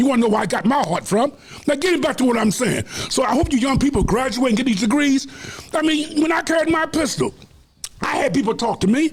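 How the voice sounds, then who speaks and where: With an animated tone and lively intonation, a man speaks at an extremely high pitch and a very fast pace over noticeable background noise. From Washington DC. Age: 70s. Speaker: community leader. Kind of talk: interview.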